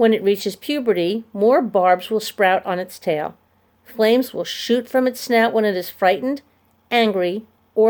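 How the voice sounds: A natural reading voice moves through ordinary pitch variation.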